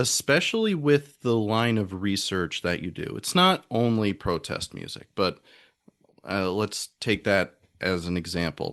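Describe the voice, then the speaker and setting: A man in a plain, everyday voice talks at a fairly slow pace and a fairly low pitch, with ordinary pitch variation and a quiet background. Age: 20s. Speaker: podcast host and music theorist. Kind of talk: podcast interview.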